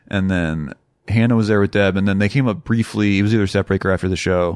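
A man with an American accent, a normal speaking voice and ordinary pitch variation, on a very clean recording with a silent background. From Minnesota (Rochester). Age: 30s. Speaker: guitarist and composer. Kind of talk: casual chat. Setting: home recording.

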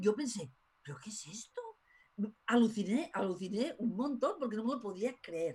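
A woman's fairly high, somewhat breathy voice with lively intonation, big swings in loudness, and a moderate pace. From Spain. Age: 50s. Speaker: tarot school director. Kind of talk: interview.

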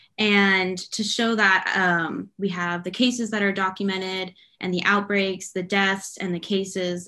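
Against a quiet background, a woman with an American accent speaks fairly slowly at a medium pitch, her tone bright and sharp. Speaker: news reporter. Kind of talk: casual chat. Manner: enthusiastic.

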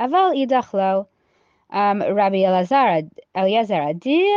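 This woman talks at a very slow pace. Her pitch sits in the middle of the female range, and her intonation is lively. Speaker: Talmud teacher. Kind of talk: Talmud study lecture. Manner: hesitant, many fillers.

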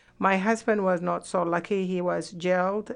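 A woman talks at a moderate pace against a quiet background. Her voice is fairly low, with monotone, flat intonation. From Sudan. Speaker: political refugee. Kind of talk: interview testimony.

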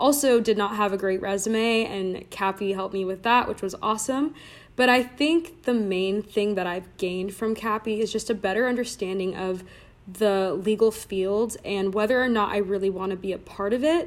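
In an American accent, a woman speaks at a moderate pace and medium pitch in a plain, everyday voice with ordinary pitch variation. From Southern California, Orange County. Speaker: recent graduate, fraternity member. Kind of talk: casual interview. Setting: remote recording.

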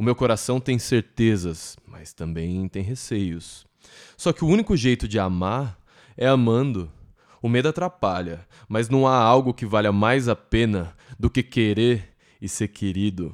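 In a plain, everyday voice, a man with a medium pitch speaks at a fairly slow pace with lively intonation. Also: very clean recording, silent background. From Brazil, São Paulo ABC region. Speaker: podcast host. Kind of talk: poetic spoken intro.

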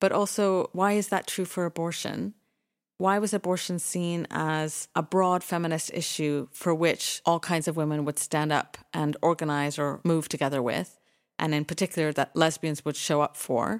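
An ordinary speaking voice from a woman, fairly low in pitch with ordinary pitch variation, at a moderate pace, dry and close with no echo, in a very clean recording with a silent background. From Canada, Toronto. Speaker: podcast co-host, foundation executive director. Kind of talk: casual chat. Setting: studio.

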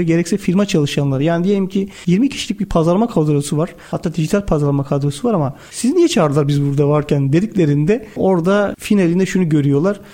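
A man speaks at a very fast pace with a high pitch and ordinary pitch variation, leaving hardly any pauses. His loudness stays very even, and noticeable background noise is present. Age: 40s. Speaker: company executive. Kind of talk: interview.

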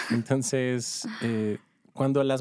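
A man's dark, mellow tone, dry and close with no echo. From northern Mexico, Ciudad Juárez. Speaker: doctor. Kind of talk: casual interview.

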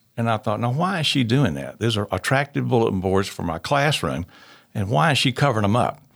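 A man's medium-pitched voice with vocal fry, very wide pitch swings and a fairly quick pace, on a very clean recording with a silent background. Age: 60s. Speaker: local historical society president. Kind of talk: casual interview.

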